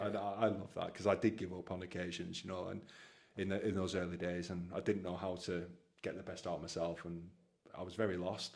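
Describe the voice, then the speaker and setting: In a northern English accent, a man with a very deep, low voice talks at a fairly quick pace amid audible room echo. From northwest England. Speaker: Paralympic rower, army veteran. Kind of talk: podcast interview. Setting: home gym. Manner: animated; halting.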